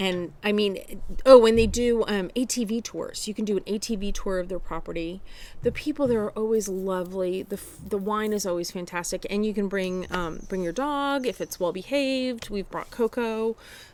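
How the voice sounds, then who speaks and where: A woman with an American accent speaks at a medium pitch and a moderate pace. Her pitch variation is ordinary. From New Jersey. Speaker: podcast co-host, knitter. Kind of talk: casual chat.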